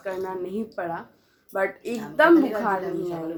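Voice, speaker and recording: A woman speaks at medium pitch with a Bengali accent. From West Bengal, India. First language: Bengali (speaking Hindi). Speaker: vlogger. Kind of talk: casual vlog chat.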